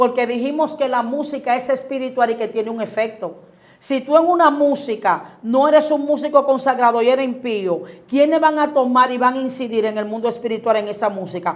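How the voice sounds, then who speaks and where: With a Dominican accent, a woman with a high pitch talks at a fairly quick pace in an animated tone with ordinary pitch variation. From Dominican Republic, Boca Chica. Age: 40s. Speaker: pastor. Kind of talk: interview about faith.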